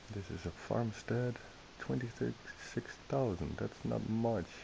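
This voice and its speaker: Very slowly and with very wide pitch swings, a man talks in a non-native accent. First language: not English. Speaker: gaming video creator. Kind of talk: gameplay commentary. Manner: casual, self-talking.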